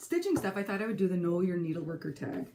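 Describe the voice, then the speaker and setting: In a Minnesotan accent, a woman talks with lively intonation and a dark, mellow tone. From California, San Francisco area. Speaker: crafting vlogger and teacher. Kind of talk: casual vlog. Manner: chatty, with hesitations.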